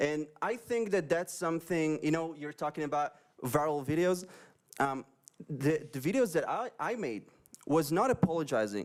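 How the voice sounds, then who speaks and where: With an Israeli accent, a man speaks at a fairly high pitch and a moderate pace, using lively intonation. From Israel, Upper Galilee. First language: Hebrew. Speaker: pro-Israel video creator and former soldier. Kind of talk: interview. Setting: live stream.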